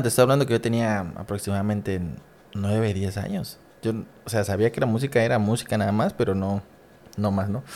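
A man with a medium pitch and an ordinary speaking voice. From Mexico, Coatzacoalcos, Veracruz. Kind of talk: casual interview chat.

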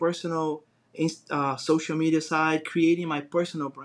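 In a Brazilian accent, a man speaks at a fairly high pitch with monotone, flat intonation. The recording is very clean, with a silent background. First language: Portuguese. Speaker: design business founder. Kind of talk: interview.

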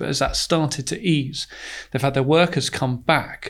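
In a very clean recording with a silent background, a man with a normal speaking voice talks at a fairly quick pace, his fairly high pitch following fairly even intonation. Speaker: fund manager. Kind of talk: professional investment podcast discussion.

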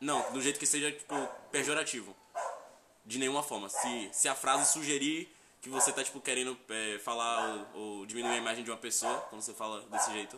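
Ordinary pitch variation shapes the fairly quick delivery, with noticeable background noise present. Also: man, medium pitch for a man. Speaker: podcast co-host. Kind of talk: casual chat.

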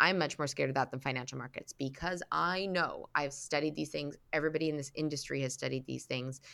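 On a very clean recording with a silent background, a woman with a Canadian accent speaks in a very deep, low pitch with vocal fry, a bright, sharp tone, and ordinary pitch variation. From Canada, Vancouver. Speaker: personal finance author and entrepreneur. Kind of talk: interview.

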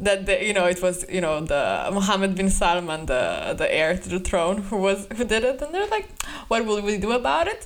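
Through noticeable background noise, a woman speaks in an animated tone with lively intonation. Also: medium pitch for a woman, moderate pace. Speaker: podcast co-host. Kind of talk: casual banter podcast chat. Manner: joking, animated.

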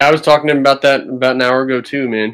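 Here is a man with an American accent and a bright, sharp tone. He talks at a very fast pace. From New Jersey. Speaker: gun rights activist. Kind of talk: casual chat.

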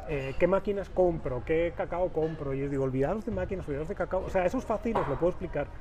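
A man talks at a very fast pace in a high pitch, with ordinary pitch variation. Noticeable background noise is present. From Spain, Valencia. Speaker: chocolate maker. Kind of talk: casual interview.

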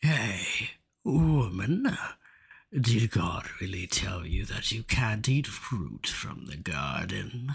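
In a put-on character voice, a man speaks very slowly at a fairly low pitch. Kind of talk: children's Bible drama. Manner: sly, persuasive.

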